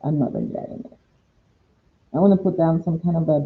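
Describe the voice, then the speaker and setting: The speaker is soft-spoken and relaxed in tone. The pace is moderate. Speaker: watercolor painting instructor. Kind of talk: live paint-along tutorial. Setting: live stream at home. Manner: relaxed, thinking aloud.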